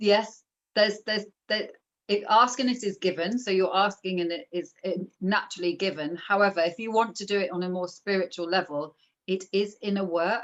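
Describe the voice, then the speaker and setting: At a fairly quick pace, a woman uses a normal speaking voice with a medium pitch and ordinary pitch variation. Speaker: meditation teacher. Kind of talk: interview.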